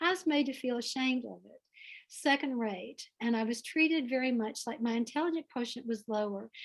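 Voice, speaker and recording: A high-pitched woman's voice with a Southern US accent, fairly quick pace, ordinary pitch variation and big swings in loudness. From US South. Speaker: author. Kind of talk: interview answer at a reading event. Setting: video call from home.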